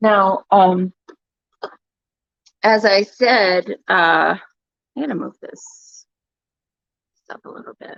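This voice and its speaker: A woman talks at a very slow pace with long, frequent pauses, her medium-pitched voice showing ordinary pitch variation and big swings in loudness, recorded with a dry, close sound and no echo. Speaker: DIY paint retailer. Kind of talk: livestream tutorial. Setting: livestream from her store.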